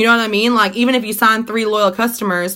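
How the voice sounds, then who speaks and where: A woman's animated voice with a bright, sharp tone. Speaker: network marketing team leader. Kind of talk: live video coaching talk. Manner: fast.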